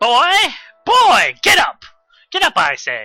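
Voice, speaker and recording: A shrill, put-on character voice at an extremely high pitch, delivered at a fairly slow pace. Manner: commanding, impatient.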